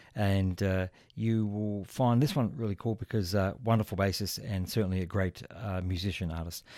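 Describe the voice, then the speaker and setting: Fairly low-pitched man with an Australian accent, a warm, relaxed, dark and mellow tone, and a moderate pace, on a very clean recording with a silent background. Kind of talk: radio DJ patter, live smooth jazz show with track intros and plugs. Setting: radio studio broadcast.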